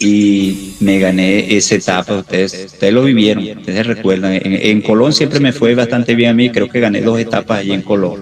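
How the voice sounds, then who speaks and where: Noticeable background noise sits behind a man speaking at a fairly quick pace with hardly any pauses. His pitch is fairly low and his loudness very even. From Venezuela. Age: 60s. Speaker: retired pro cyclist, masters racer. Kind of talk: interview.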